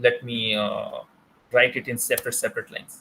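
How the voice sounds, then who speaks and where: A man with an Indian accent, talking at a fairly quick pace. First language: Hindi. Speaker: teaching assistant. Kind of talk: tutorial. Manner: halting, many fillers.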